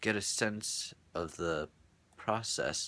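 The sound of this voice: Pitch varies in an ordinary way across this unforced reading voice.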